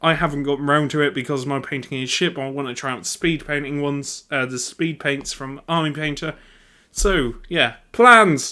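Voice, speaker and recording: On a very clean recording with a silent background, a man with a bright, sharp tone speaks at a moderate pace, his pitch fairly high with ordinary variation. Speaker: YouTuber, tabletop gaming hobbyist. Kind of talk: casual monologue ramble. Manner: halting, stuttering.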